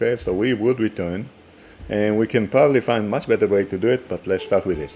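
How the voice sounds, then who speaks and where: A man speaks at a fairly quick pace with an Israeli accent. His medium-pitched voice has a dark, mellow tone. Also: ordinary pitch variation. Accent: Hebrew. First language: Hebrew. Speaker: programming teacher. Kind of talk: coding tutorial. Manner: halting, many fillers and restarts.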